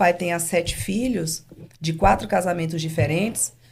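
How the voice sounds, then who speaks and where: Her pitch is medium and varies in an ordinary way. The woman speaks at a moderate pace. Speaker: business owner. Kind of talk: interview. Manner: calm.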